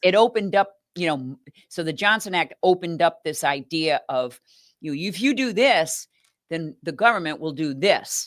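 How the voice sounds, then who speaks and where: With a normal speaking voice, a woman talks at a moderate pace and a fairly low pitch, her intonation lively and the sound dry and close with no echo. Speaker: nonprofit executive director. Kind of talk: interview answer.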